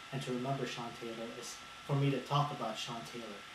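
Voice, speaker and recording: A fairly quick pace amid noticeable background noise and audible room echo. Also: man. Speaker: video blogger. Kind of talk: unscripted monologue. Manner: halting, with stutters.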